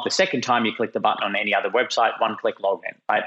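Speaking with an Australian accent, a man talks at a very fast pace. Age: 30s.

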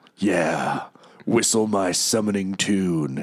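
A put-on character voice from a man, fairly low in pitch, at a very slow pace. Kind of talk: comic overacting. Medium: actual play. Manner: casual slangy bro talk.

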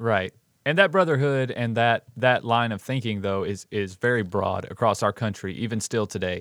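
With an American accent, a man speaks in an ordinary speaking voice at medium pitch and a moderate pace, with ordinary pitch variation, on a very clean recording with a silent background and a dry, close sound with no echo. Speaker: podcast host. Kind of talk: casual chat.

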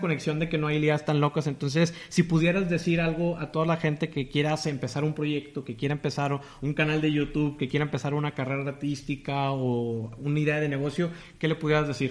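A man speaks in an ordinary speaking voice at fairly high pitch. His pace is fairly quick and his intonation fairly even. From Tamaulipas, northern Mexico. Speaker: podcast host. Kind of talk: interview.

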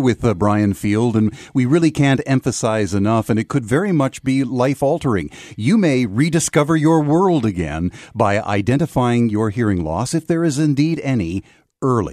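A man with an ordinary speaking voice, medium pitch, lively intonation and a moderate pace, in a dry, close sound with no echo. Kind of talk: radio infomercial, paid sponsored segment with sales pitch.

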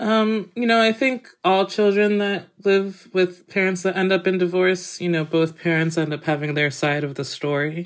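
A woman with an American accent speaks at a moderate pace and medium pitch, with ordinary pitch variation and hardly any pauses, in a plain, everyday voice. The recording is very clean with a silent background. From Massachusetts, US. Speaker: chef and cookbook author. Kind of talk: interview.

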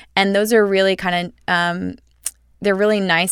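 Heard on a very clean recording with a silent background, a woman at a medium pitch speaks at a moderate pace with monotone, flat intonation. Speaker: nutritionist. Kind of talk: casual chat. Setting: studio.

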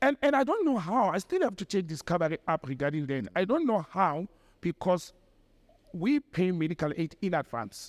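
On a very clean recording with a silent background and a dry, close sound with no echo, a man with a high voice speaks at a moderate pace using very wide pitch swings. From South Africa, Mohlakeng, west of Johannesburg. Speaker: political commentator and former diplomat. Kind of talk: interview.

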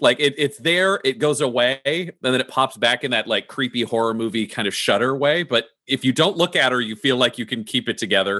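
A man talks in a normal speaking voice at a medium pitch. His intonation is lively. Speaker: game master. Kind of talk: tabletop roleplaying game narration.

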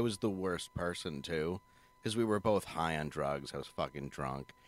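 Lively intonation and vocal fry mark this man's American accent as he speaks at a moderate pace. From Michigan, Ann Arbor / Detroit area. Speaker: comedian. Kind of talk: casual chat.

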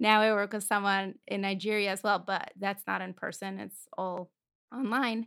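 A woman's medium-pitched, monotone voice with a Russian accent, flat in intonation, at a moderate pace, on a very clean recording with a silent background. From Moscow, Russia. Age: 20s. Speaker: podcast host, singer and music producer. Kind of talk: interview conversation.

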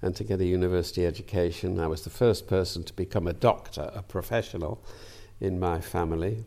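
Very fast and very deep, a man with a slight Lancashire accent talks in a dark, mellow tone with ordinary pitch variation on a very clean recording with a silent background. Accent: light Lancastrian lilt. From northern England, Manchester. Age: 80s+. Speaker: peer and retired professor of medicine. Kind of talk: interview.

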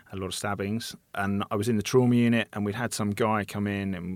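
In a very clean recording with a silent background, the speaker uses a British accent and monotone, flat intonation. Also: man. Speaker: surgeon. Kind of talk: casual interview chat.

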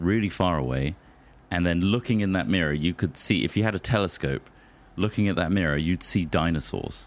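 Very deep and low, a man's voice carries vocal fry and lively intonation. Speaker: podcast host. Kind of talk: casual comedy chat. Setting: home recording.

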